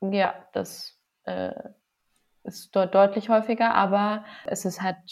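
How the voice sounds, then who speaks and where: Medium-pitched female speech, monotone and flat in intonation. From Lower Bavaria, Passau. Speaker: physician and cancer researcher, yoga teacher. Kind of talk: casual interview.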